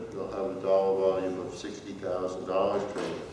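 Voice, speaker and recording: Against noticeable background noise and audible room echo, a man talks at a moderate pace in a fairly low pitch. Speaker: conference speaker. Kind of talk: lecture. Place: hall.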